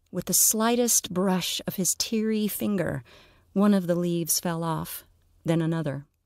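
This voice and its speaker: Fairly low in pitch, a woman with an unremarkable speaking voice talks at a fairly slow pace with ordinary pitch variation, recorded very cleanly against a silent background. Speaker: audio fiction narrator and podcast host. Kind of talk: literary audiobook reading of a dark comic fantasy story, narrated with character voices.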